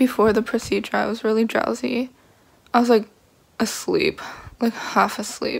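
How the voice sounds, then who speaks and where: A woman talks at a fairly slow pace with vocal fry. Her pitch varies in an ordinary way. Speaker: vlogger after dental surgery. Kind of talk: casual vlog chat. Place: home room. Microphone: phone near.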